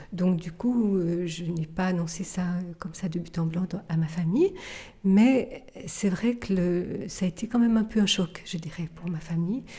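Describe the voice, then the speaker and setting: A woman speaks at a fairly low pitch. Her voice is somewhat breathy, with a dark, mellow tone. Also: ordinary pitch variation. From Switzerland, Geneva. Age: 50s. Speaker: contemplative nun. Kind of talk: testimony interview. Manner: halting, many hesitations.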